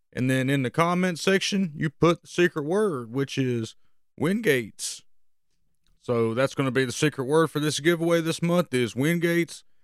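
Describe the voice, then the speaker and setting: At a moderate pace, a man talks with a fairly high pitch and ordinary pitch variation. The recording is very clean, its background silent. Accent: Southern US. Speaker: fishing podcast host. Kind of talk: casual podcast monologue, fishing report. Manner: casual, many filler words.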